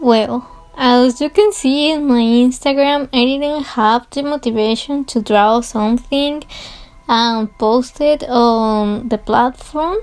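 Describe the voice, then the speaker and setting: A woman with a Spanish accent talks very slowly in a high pitch, using ordinary pitch variation. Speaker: art youtuber. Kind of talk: casual voiceover over timelapse. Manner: halting.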